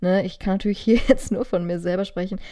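On a very clean recording with a silent background, a woman speaks at a fairly quick pace in a dark, mellow tone. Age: 20s. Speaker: podcast co-host. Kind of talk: casual chat.

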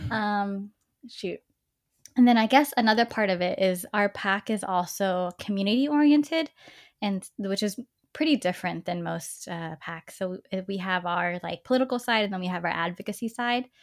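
A woman's plain, everyday voice with an American accent, lively intonation and a moderate pace, on a very clean recording with a silent background. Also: medium pitch for a woman, big swings in loudness. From Texas (Dallas). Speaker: political organizer and former teacher. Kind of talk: interview.

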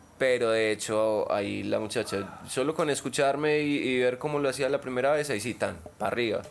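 The speech moves at a fairly quick pace with ordinary pitch variation. Loudness stays very even. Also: man, medium pitch for a man. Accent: Paisa Colombian. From Colombia, Medellín. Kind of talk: casual chat.

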